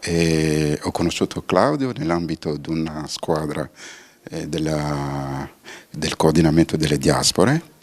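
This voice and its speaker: Here a man speaks with a very deep, low pitch. His pace is fairly slow and his intonation fairly even. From Benin. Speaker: diaspora cooperation coordinator. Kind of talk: TV interview.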